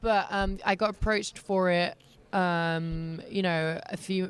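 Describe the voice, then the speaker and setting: A woman with a British accent speaks in a fairly low voice. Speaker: professional wrestler. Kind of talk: interview answer.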